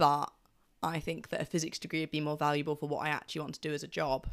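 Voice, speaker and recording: The speaker talks at a very fast pace with noticeable vocal fry. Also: woman, very clean recording, silent background. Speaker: student podcast host. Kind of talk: casual interview chat.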